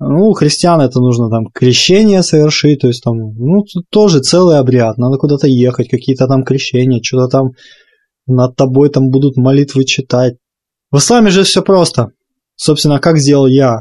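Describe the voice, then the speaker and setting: A man's medium-pitched voice, dark and mellow in tone, moves at a moderate pace with ordinary pitch variation and very even loudness, in a dry, close sound with no echo. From Ukraine. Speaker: podcast co-host. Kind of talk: casual chat. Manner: stuttering at times.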